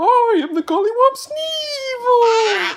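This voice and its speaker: Putting on a squeaky character voice, a man speaks at a very slow pace with an extremely high pitch. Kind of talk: bedtime story. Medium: read story.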